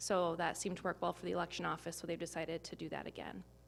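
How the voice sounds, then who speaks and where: The voice carries vocal fry. The recording is very clean, with a silent background. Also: woman. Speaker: school district communications staff. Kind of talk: public meeting report. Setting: board meeting in city hall. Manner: fast.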